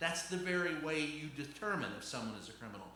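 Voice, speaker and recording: A man with an American accent and a fairly high pitch, at a moderate pace, with noticeable background noise and audible room echo. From Louisville, Kentucky, US South. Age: 60s. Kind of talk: stand-up. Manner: animated.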